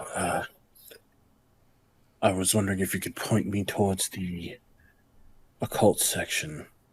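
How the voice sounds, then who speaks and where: In a put-on character voice, the speaker mumbles at a moderate pace with fairly even intonation and long, frequent pauses. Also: man, fairly low pitch for a man. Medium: actual play. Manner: hesitant, mumbling.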